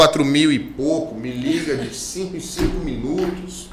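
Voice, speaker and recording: With lively intonation and an animated tone, a man talks at a fairly slow pace over noticeable background noise. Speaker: lawyer. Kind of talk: interview.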